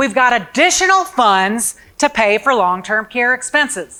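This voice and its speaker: Recorded very cleanly against a silent background, a woman speaks with a high pitch and a bright, sharp tone. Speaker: long-term care planning presenter. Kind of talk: seminar presentation.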